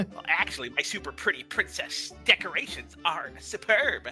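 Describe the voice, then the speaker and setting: Clear music plays in the background while someone performs a put-on character voice. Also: moderate pace. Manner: pompous, nerdy.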